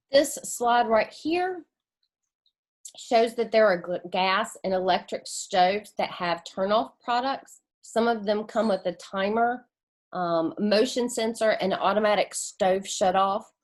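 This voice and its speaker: Against a quiet background, a woman with a North Carolina accent speaks at a fairly slow pace, her fairly high voice full of lively intonation. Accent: Southern US (North Carolina). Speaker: community engagement coordinator presenting. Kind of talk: presentation. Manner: halting, filler words.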